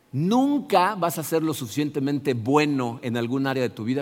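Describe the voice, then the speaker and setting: A male voice speaks here. Its pitch is in the middle range. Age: 60s. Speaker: pastor. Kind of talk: sermon. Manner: halting.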